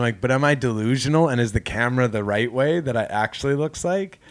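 A man with a Canadian accent and a plain, everyday voice speaks at a fairly quick pace in a medium pitch with ordinary pitch variation. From Canada. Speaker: comedian. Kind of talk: casual chat.

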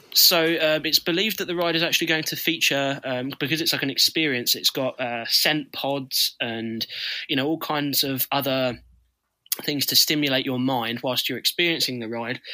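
A man with a British accent has a bright, sharp tone and ordinary pitch variation on a very clean recording with a silent background. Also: fairly high pitch for a man, moderate pace. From UK. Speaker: roller coaster YouTuber. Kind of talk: casual podcast chat.

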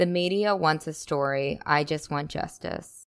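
A woman's low-pitched voice, clear and smooth in tone, at a fairly slow pace.

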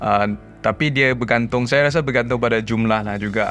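Music plays behind a man's voice. His intonation is fairly even. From Penang, Malaysia. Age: 30s. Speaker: young father, private sector professional. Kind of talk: casual chat. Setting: studio.

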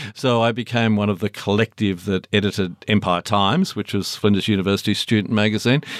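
Speaking at a very fast pace, a man keeps his fairly low voice in fairly even intonation. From Launceston, Tasmania. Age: 60s. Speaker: music journalist and author. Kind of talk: interview about his book.

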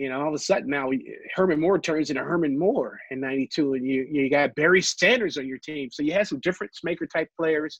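Speaking with an American accent, a man uses a normal speaking voice at a fairly high pitch, moving at a fairly quick pace with hardly any pauses and ordinary pitch variation, all in a dry, close sound with no echo. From Ohio. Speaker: former football executive and player. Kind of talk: interview.

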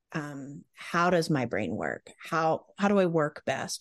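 Speaking fairly slowly with an American accent, a woman uses a very deep, low pitch and vocal fry in a dry, close recording with no echo. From US South. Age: 40s. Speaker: parenting specialist and author. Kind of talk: casual interview chat.

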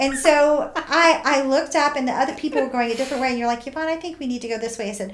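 A woman's high-pitched voice at a very fast pace with hardly any pauses and ordinary pitch variation, plus audible room echo and noticeable background noise. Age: 60s. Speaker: hiker and friend of the host. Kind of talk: testimony.

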